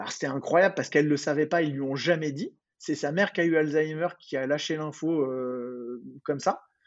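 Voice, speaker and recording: Fairly quick and fairly high-pitched, a man speaks in a plain, everyday voice. His intonation stays fairly even. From Paris, France. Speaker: dentist. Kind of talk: casual chat.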